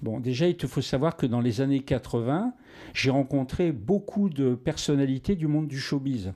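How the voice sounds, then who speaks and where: With a dark, mellow tone, a man speaks at a fairly slow pace, his fairly high pitch showing ordinary variation. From northern France (Arras, Nord-Pas-de-Calais). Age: 60s. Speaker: actor. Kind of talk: interview. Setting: home studio. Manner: halting, many repetitions and fillers.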